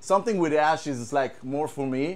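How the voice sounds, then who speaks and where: A man with an Israeli accent, fairly high pitch, lively intonation and a moderate pace. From Israel, kibbutz. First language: Hebrew. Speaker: guitar tech. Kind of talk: casual gear demo. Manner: halting, many repetitions.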